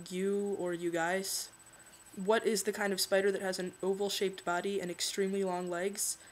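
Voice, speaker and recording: A woman with an American accent and a plain, everyday voice, medium in pitch, at a moderate pace. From Philadelphia, born in California. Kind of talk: casual talk to camera.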